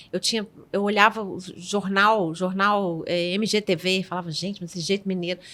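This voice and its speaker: A woman talks at a moderate pace in a Minas Gerais accent, her tone bright and sharp. Her pitch is medium and her intonation monotone and flat. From Minas Gerais, Brazil. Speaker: podcast guest. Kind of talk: casual chat.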